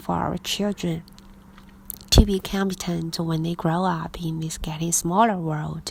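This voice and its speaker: Speaking at a fairly slow pace with a Chinese accent, a woman keeps a fairly low pitch and monotone, flat intonation. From China. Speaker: English teacher. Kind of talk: reading aloud.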